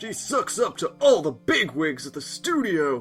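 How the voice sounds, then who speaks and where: A man puts on a character voice at a fairly slow pace with very wide pitch swings as faint music plays in the background. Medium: fan dub. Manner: nervous, stammering.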